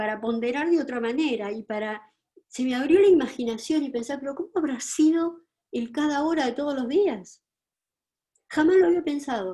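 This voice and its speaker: Lively intonation marks a woman's dark, mellow tone as she speaks at a moderate pace. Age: 70s. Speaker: psychologist and writer. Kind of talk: lecture. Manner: halting.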